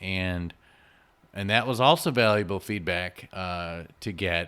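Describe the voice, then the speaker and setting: Loud and bright with a sharp tone, a man speaks with fairly even intonation. The recording is very clean, with a silent background. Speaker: podcast host. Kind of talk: solo podcast monologue. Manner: casual, with fillers.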